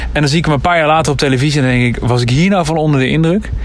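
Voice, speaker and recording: A man talks at a very fast pace in a fairly high voice with ordinary pitch variation. There is noticeable background noise and audible room echo. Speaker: podcast co-host. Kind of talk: casual chat.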